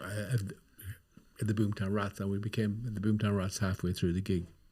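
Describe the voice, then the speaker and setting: In a very clean recording with a silent background, a man speaks fairly fast in a somewhat breathy voice. His pitch is fairly low and his intonation is flat and monotone. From Ireland, County Cavan. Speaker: rock musician. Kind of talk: casual chat.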